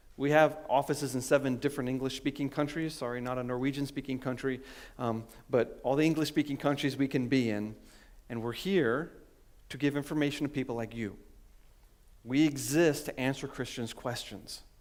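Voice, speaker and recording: A man with an ordinary speaking voice talks at a fairly quick pace in a fairly high pitch, his intonation fairly even. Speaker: scientist and creationist speaker. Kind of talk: conference talk.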